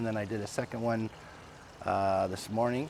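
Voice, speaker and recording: Against noticeable background noise, a man talks at a fairly quick pace. His intonation stays fairly even. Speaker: channel host filming sky sightings. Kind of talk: casual vlog narration. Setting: outdoors at home, night. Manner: halting, many fillers; speaking low and quiet.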